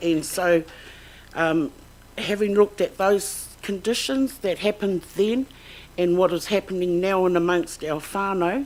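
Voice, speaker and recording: A woman with a New Zealand accent talks at a moderate pace and medium pitch, with ordinary pitch variation. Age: 60s. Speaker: claimant witness. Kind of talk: testimony. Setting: tribunal hearing. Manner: halting.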